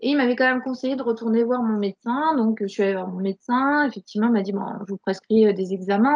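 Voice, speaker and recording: This woman talks at a very fast pace. Her pitch is fairly high, with ordinary pitch variation. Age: 40s. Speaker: burnout survivor and coach. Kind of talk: testimony. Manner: halting, many repetitions and fillers.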